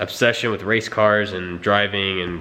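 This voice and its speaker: A man speaks quietly, with audible room echo. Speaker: car vlogger. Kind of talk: casual vlog. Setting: garage. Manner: halting, tongue-tied.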